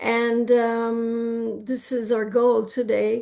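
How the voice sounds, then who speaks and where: A woman speaks very slowly in a Quebec accent, her pitch fairly high. The background is quiet. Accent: Quebecois French. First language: French. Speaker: therapist. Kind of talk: interview. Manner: halting.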